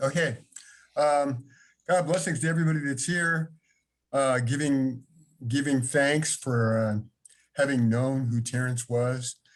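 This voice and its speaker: The speaker leaves long, frequent pauses. Intonation stays fairly even. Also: man, medium pitch for a man. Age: 60s. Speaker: author and longtime fan. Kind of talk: casual share in an online salon. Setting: video call.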